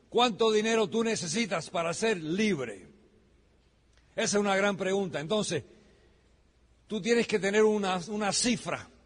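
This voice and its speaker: Using a high pitch and an animated tone, a man speaks fairly slowly with ordinary pitch variation and long, frequent pauses. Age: 60s. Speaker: business speaker. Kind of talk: motivational talk.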